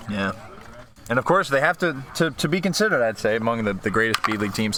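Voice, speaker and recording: A man at a very fast pace, with long, frequent pauses, very wide pitch swings and noticeable background noise. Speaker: amateur hockey play-by-play commentator. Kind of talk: live commentary. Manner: picking up a stutter.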